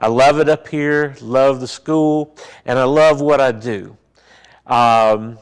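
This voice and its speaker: In a Southern US accent, a man at medium pitch speaks very slowly with fairly even intonation, recorded very cleanly against a silent background. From US South, Mississippi. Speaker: funeral director and mortuary science instructor. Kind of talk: seminar talk.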